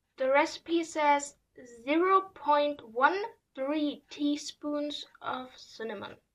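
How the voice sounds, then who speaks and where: A woman's high voice with a non-native accent, at a very slow pace, with ordinary pitch variation and big swings in loudness. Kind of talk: casual talk to camera.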